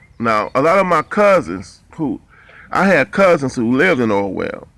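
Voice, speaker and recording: Speaking at a fairly slow pace with an American accent, a man uses a medium pitch and a bright, sharp tone. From Ohio, US (Cleveland, Ashtabula). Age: 50s. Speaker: boxing commentator and ex-boxer. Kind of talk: casual storytelling monologue. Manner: casual, halting with fillers.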